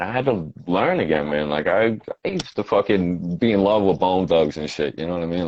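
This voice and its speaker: Through noticeable background noise, a man with a Boston accent and a very deep, low pitch speaks at a fairly quick pace with ordinary pitch variation. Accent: Boston-area New England. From Quincy, Massachusetts. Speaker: rapper. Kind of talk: casual interview chat.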